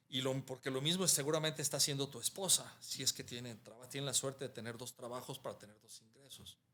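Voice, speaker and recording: Bright and sharp in tone, a man talks at a very fast pace with hardly any pauses. His loudness swings a lot. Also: medium pitch for a man. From Mexico, Guadalajara (Jalisco). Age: 60s. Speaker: architect. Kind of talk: interview conversation. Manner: halting, with repetitions.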